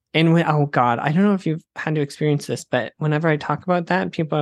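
A man speaks at a fairly quick pace with an American accent. The sound is dry and close with no echo, over a quiet background. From US Midwest, Wisconsin and Minnesota. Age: 20s. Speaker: comedian. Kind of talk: casual chat.

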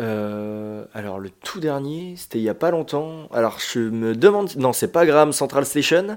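Speaking at a fairly slow pace with hardly any pauses, a man with an ordinary speaking voice and fairly high pitch shows big swings in loudness. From France, Île d'Oléron. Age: 20s. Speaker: bassist and skate instructor. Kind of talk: casual chat. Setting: shared flat.

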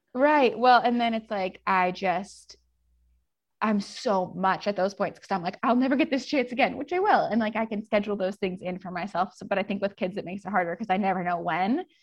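With an American accent, a woman talks at a fairly quick pace in an unremarkable speaking voice, medium in pitch, with ordinary pitch variation. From US Pacific Northwest. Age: 20s. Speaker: photographer. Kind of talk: casual interview chat.

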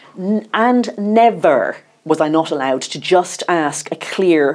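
With lively intonation, a woman speaks in a plain, everyday voice at a fairly low pitch. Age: 50s. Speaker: journalist and author. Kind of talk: interview.

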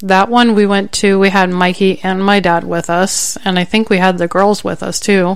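A woman's speech moves at a moderate pace. Background noise is noticeable throughout. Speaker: podcast co-host. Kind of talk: casual chat. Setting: studio.

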